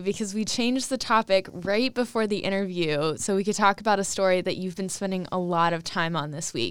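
An unremarkable speaking voice from a woman with an American accent, medium pitch, ordinary pitch variation and hardly any pauses, on a very clean recording with a silent background. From Charlottesville, Virginia. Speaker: radio host. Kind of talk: radio interview. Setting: studio.

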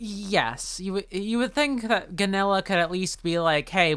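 The intonation rises and falls in a lively way. It is an ordinary speaking voice. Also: woman. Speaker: podcast host. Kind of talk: casual chat.

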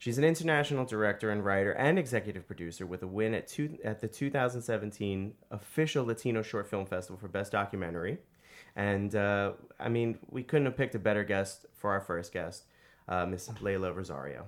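A man's fairly low voice with a New York accent, ordinary pitch variation and a fairly quick pace, on a very clean recording with a silent background. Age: 30s. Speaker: podcast host and independent filmmaker. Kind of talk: casual interview.

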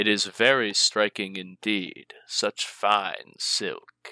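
A man puts on a resonant character voice with a fairly low pitch, speaking very slowly. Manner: smooth, falsely warm.

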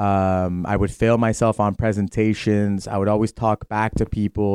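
A man speaks at a moderate pace with a fairly low, dark, mellow tone. The sound is dry and close with no echo, and the background is quiet. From Greater Toronto Area, Ontario, Canada. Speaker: youth program leader. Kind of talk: casual chat. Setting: employee kitchen.

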